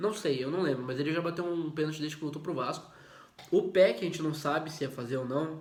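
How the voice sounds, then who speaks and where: Amid noticeable background noise and audible room echo, a man talks at a fairly quick pace in a fairly high pitch. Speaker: football commentator YouTuber. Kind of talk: casual video commentary. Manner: hesitant, repeats words.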